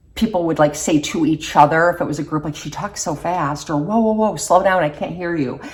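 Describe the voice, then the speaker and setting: A woman speaks in an ordinary speaking voice, fairly low in pitch, with ordinary pitch variation. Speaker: beauty vlogger. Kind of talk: casual chat.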